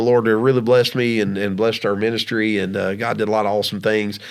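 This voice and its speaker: A man with a Southern US accent talks over noticeable background noise. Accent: Southern twang. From US South, Georgia. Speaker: podcast co-host, former minister. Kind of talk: casual chat. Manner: halting, many fillers.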